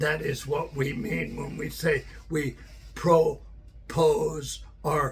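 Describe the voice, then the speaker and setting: A man speaks very slowly over noticeable background noise. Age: 60s. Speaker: stroke survivor vlogger. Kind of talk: personal monologue. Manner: halting.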